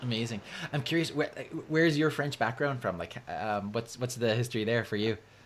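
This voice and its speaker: Talking at a fairly quick pace in a Canadian accent, a man has a plain, everyday voice at medium pitch with ordinary pitch variation. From Canada. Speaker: podcast host and physician. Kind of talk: interview. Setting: live podcast.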